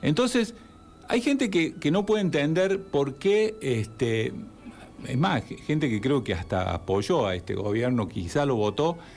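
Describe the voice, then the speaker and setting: A man speaks at a fairly slow pace with a fairly high pitch. His pitch swings very widely. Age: 60s. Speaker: therapist and civic group spokesman. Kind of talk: radio interview.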